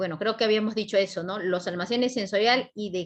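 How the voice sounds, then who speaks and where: This is an unremarkable speaking voice with ordinary pitch variation. The background is quiet. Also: woman. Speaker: psychology teacher at exam prep academy. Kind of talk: lecture.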